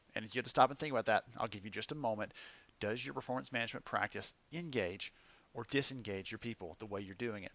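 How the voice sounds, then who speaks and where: With a plain, everyday voice, a man speaks at a fairly quick pace, medium in pitch, with ordinary pitch variation. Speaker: podcast host. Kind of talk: podcast intro and interview hosting. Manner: casual, upbeat.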